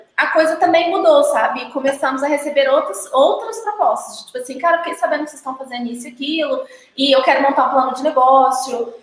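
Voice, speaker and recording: Barely pausing, a woman talks at a fairly quick pace with ordinary pitch variation and big swings in loudness, her voice carrying audible room echo. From Brazil, Minas Gerais. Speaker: brewer and brewery consultant. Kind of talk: casual chat.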